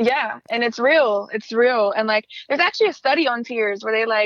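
A woman with an American accent, fairly high pitch and a fairly quick pace. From Joliet, Illinois, US Midwest. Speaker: spoken word artist. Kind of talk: casual interview, personal life story. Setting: phone call.

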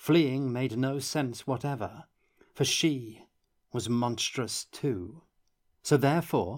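Fairly even intonation in an unforced reading voice, set against a quiet background.

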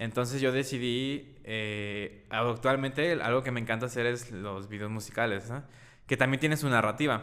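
Delivered at a moderate pace with a Mexican accent, the voice has a bright, sharp tone and fairly even intonation. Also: man, medium pitch for a man. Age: 20s. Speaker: videographer and photographer. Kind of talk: casual interview.

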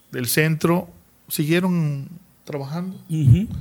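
A man speaks at a very slow pace. His voice is fairly high, with fairly even intonation. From Chiapas, Mexico. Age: 40s. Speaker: local public servant and farmer. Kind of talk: live video podcast interview. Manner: halting, with many repetitions.

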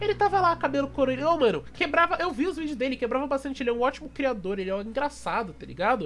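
Talking at a very fast pace with hardly any pauses, a man uses an extremely high pitch and very wide pitch swings. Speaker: podcast host. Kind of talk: casual chat. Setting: live stream.

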